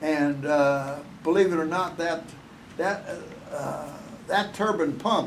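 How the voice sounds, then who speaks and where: Against noticeable background noise, a man with a fairly high pitch talks at a very slow pace with ordinary pitch variation. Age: 80s+. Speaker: retired NASA engineer. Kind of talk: interview answer.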